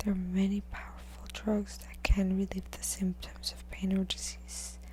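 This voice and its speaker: Soft-spoken and fairly slow, the voice comes with noticeable background noise. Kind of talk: book reading.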